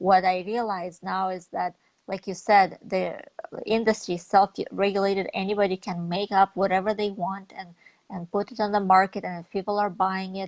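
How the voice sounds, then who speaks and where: In a Russian accent, a woman talks at a medium pitch with monotone, flat intonation, and the sound is dry and close with no echo. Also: moderate pace. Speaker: network marketing leader. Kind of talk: interview.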